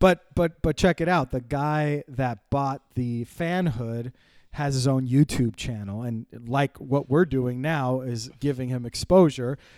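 A man speaks at a fairly slow pace in a medium pitch with ordinary pitch variation. The sound is dry and close, with no echo. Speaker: podcast host. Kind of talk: casual chat. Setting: headphones, remote recording. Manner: loud.

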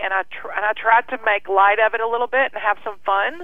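A woman in an American accent speaks at medium pitch with monotone, flat intonation. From Kentucky. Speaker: breast cancer survivor. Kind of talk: casual interview.

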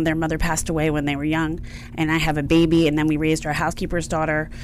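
There is audible room echo and noticeable background noise. Through it, a woman speaks with an American accent. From outside Philadelphia. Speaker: consulting firm CEO and founder. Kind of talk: radio interview.

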